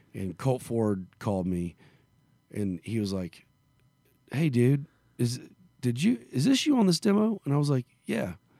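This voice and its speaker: With a Southern US accent, a man speaks at a medium pitch in a dark, mellow tone, with very wide pitch swings and long, frequent pauses, in a dry, close sound with no echo. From Arkansas / Memphis area, US South. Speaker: country singer. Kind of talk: casual interview. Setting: in a venue in Las Vegas. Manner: halting, many fillers.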